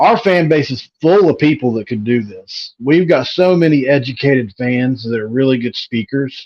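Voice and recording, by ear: With a West Virginia accent, a man speaks at a moderate pace with lively intonation. He hardly pauses at all. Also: medium pitch for a man.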